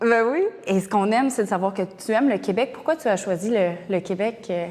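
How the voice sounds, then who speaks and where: A woman with a normal speaking voice talks at a fairly quick pace, her medium pitch showing ordinary variation. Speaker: interviewer. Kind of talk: interview.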